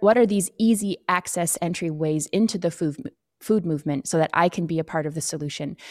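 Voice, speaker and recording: A woman's fairly low voice with ordinary pitch variation, a dry, close sound with no echo and a very clean recording against a silent background. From Canadian High Arctic, Inuk. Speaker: TV host and documentary filmmaker. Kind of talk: interview. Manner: hesitant, many fillers.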